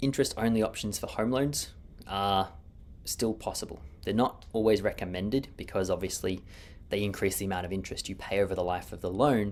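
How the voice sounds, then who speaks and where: In a very clean recording with a silent background, a man speaks in an Australian accent at a fairly quick pace. His pitch is fairly low, with ordinary pitch variation. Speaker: mortgage broker. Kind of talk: market update video. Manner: fast.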